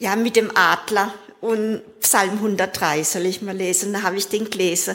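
A woman talks at a very slow pace with medium pitch and fairly even intonation. Noticeable background noise runs behind her. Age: 60s. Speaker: recovering alcoholic. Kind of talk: testimony.

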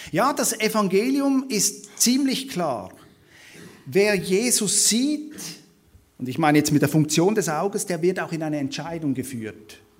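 A man speaks in a high pitch at a fairly slow pace, with very wide pitch swings. Room echo is audible. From Switzerland. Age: 30s. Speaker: theology lecturer and guest preacher. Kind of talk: sermon-style Bible study lecture.

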